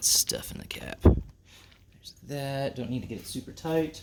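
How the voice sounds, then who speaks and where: A man talks at a fairly slow pace. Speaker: home car mechanic. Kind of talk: tutorial. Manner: casual, hesitant with many fillers; loud, close to camera.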